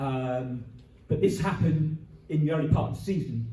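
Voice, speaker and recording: A man with a fairly high pitch is heard with audible room echo. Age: 60s. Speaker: community radio volunteer. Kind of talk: conference talk.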